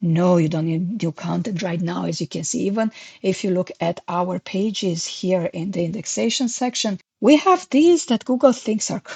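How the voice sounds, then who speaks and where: In a non-native accent, a woman at medium pitch talks with lively intonation, a somewhat breathy voice and hardly any pauses at a moderate pace, her dry, close sound free of echo over a quiet background. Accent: foreign. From Romania. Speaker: SEO consultant. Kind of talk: tutorial.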